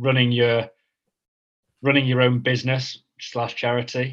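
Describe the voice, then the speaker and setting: This man's pitch is medium. His delivery comes at a fairly slow pace. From northern England. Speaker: mental health charity co-founder. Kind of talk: casual interview. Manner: halting, many fillers.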